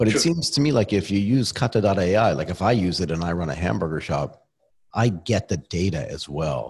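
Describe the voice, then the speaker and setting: A somewhat breathy man with a fairly low pitch at a fairly quick pace, on a very clean recording with a silent background. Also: lively intonation. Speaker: podcast host. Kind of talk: casual interview chat. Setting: studio.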